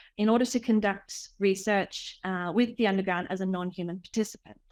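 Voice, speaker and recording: This woman speaks very fast in an Australian accent, at a medium pitch. The recording is very clean and the background silent. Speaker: researcher and artist. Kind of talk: academic talk. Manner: hesitant with fillers.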